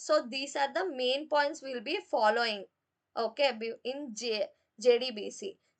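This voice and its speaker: Loudness rises and falls sharply throughout. The pitch varies in an ordinary way at a fairly slow pace. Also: woman. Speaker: programming teacher. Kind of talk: live online class. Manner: halting.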